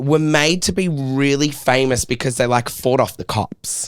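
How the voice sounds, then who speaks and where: A man with a fairly high pitch speaks in an animated tone at a fairly slow pace. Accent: Australian. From Australia. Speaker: podcast host. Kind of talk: casual chat.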